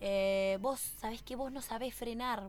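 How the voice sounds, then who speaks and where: Here a woman has a plain, everyday voice, pitched fairly high with ordinary pitch variation. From Bariloche, Argentina. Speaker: racing driver. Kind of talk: casual interview.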